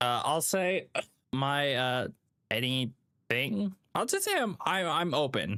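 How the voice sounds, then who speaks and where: Very slow speech from a man with a fairly high pitch, a bright, sharp tone, lively intonation and very even loudness. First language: Vietnamese. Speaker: gaming streamer. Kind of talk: live stream chat while gaming. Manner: halting, many fillers; casual, friendly.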